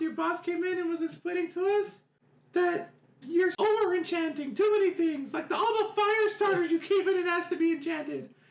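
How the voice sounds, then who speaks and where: Using a put-on character voice, a man squeaks at an extremely high pitch for a man and keeps a moderate pace. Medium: actual play.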